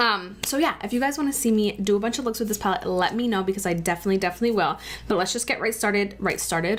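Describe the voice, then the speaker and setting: Talking at a very fast pace, a woman uses a medium pitch, ordinary pitch variation and an animated tone. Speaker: beauty vlogger. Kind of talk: makeup tutorial.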